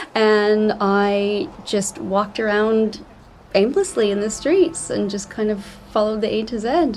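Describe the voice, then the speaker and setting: A woman with a Canadian accent speaks at a fairly slow pace, her fairly high voice showing ordinary pitch variation. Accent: Canadian, noticeable to UK listeners. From Canada, small mountain town. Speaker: travel agent. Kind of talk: podcast interview.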